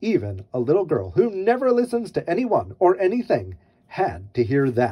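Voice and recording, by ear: At a moderate pace, a man speaks with a fairly high pitch, very wide pitch swings and a slightly husky edge.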